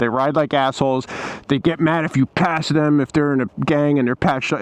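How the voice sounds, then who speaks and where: Fairly high in pitch, a man rushes along at a very fast pace. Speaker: motorcycle vlogger. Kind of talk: rant. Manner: animated; casual.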